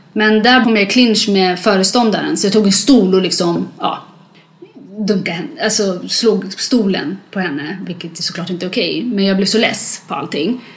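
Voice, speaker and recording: Moderate pace from a woman at medium pitch with ordinary pitch variation, plus audible room echo and noticeable background noise. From Sweden, moved from Eritrea at six. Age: 30s. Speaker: interviewee sharing life story. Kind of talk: testimony.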